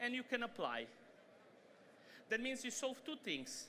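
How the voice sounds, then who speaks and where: A man in a raised, projected voice, high-pitched and bright and sharp in tone, with a non-native accent at a moderate pace. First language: not English. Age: old. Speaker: data science company partner, conference speaker. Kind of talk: keynote talk. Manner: loud; animated.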